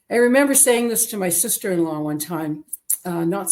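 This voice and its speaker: A woman's normal speaking voice with a Canadian accent, lively intonation and a fairly quick pace. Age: 60s. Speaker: interviewee sharing weight-loss story. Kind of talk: interview testimony.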